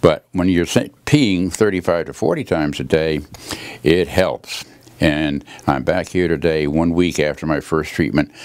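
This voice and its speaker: Vocal fry at a fairly slow pace, with ordinary pitch variation. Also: man, very deep, low pitch for a man. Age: 80s+. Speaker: chiropractic patient. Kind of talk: testimonial. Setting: chiropractor's office. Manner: halting.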